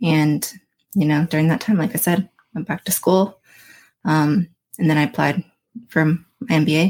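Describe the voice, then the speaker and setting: Her very deep, low voice comes in an American accent at a moderate pace, with ordinary pitch variation and a dry, close sound with no echo. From Florida, Daytona Beach. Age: 30s. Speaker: mental health advocate, person in recovery. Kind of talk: casual interview chat. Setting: studio.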